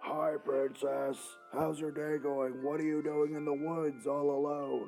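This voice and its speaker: In a put-on character voice pitched low-to-middle, the speaker goes at a fairly slow pace while music plays clearly in the background. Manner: menacing, playful.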